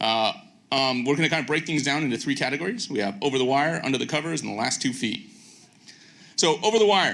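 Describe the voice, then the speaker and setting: Lively intonation at a fairly quick pace, with audible room echo. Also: man. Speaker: video engineer, conference speaker. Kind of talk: conference lightning talk. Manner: fast; frequent fillers (um, uh).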